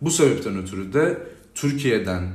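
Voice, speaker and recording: Somewhat breathy and lively in intonation, a man's voice carries audible room echo. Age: 20s. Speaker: youth organization president. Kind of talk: interview. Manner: hesitant with frequent filler sounds.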